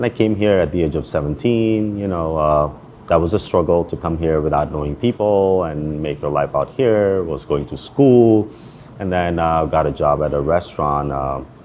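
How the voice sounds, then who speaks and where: Noticeable background noise accompanies a man speaking in a very deep, low voice. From Pakistan, Karachi. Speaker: chef and restaurant owner. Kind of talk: interview. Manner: casual, filler-heavy.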